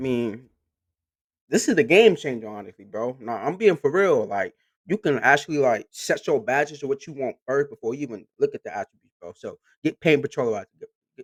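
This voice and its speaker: In a very clean recording with a silent background, a man with a fairly high pitch speaks with very wide pitch swings and big changes in loudness. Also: fairly quick pace. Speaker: gaming YouTuber. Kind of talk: reaction commentary. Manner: fast; animated.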